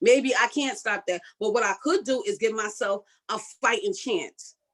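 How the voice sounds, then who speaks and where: This woman speaks at a fairly high pitch with lively intonation and an animated tone. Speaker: health summit presenter. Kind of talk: motivational talk. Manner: fast.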